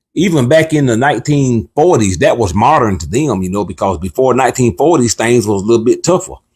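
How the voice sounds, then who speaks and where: A somewhat breathy, medium-pitched man's voice with lively intonation at a fairly quick pace, in a very clean recording with a silent background. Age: 60s. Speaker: cooking channel co-host. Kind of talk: casual livestream chat. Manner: animated.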